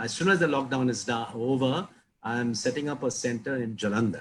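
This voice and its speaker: A man's medium-pitched, somewhat breathy voice at a fairly quick pace. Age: 70s. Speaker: priest and addiction recovery founder. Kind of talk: interview.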